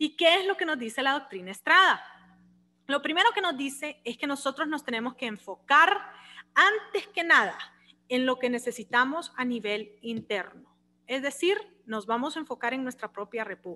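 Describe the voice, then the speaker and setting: A woman with a high pitch projects a raised voice in a bright, sharp tone, her pitch swinging very widely. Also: moderate pace. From Honduras. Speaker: law lecturer. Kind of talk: lecture. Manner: animated.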